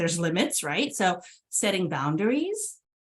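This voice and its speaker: A woman's medium-pitched voice with a Californian accent at a fairly quick pace. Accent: General American (California). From California, San Jose. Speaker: transportation agency executive director. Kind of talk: fireside chat interview.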